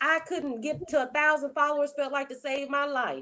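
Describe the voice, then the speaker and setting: A woman's high-pitched voice with an animated tone. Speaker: online marketer and content creator. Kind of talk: interview. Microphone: wired headphones with built-in mic.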